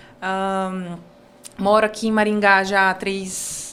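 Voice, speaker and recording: With audible room echo, a woman of medium pitch speaks in a monotone, flat intonation. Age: 20s. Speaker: university lecturer and psychodrama researcher. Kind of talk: podcast interview.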